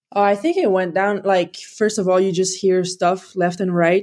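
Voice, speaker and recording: A woman's fairly low voice in a French accent, dark and mellow in tone, monotone and flat at a moderate pace. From Quebec. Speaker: pro hockey player. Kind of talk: casual interview. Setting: video call.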